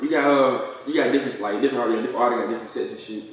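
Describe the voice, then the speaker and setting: The intonation is fairly even. Strong room echo and light background noise are present. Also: man. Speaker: rapper being interviewed. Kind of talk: casual slang, profanity. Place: home room.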